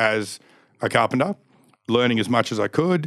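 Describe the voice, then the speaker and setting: A man speaks at a medium pitch. He talks with an Australian accent. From Australia, Canberra. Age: 40s. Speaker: stunt show performer. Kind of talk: casual interview chat.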